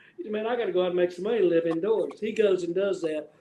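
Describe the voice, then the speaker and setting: Speaking at a very fast pace, a man with a high pitch and ordinary pitch variation talks over noticeable background noise. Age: 60s. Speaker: podcast host and clothing brand owner. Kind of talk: casual chat.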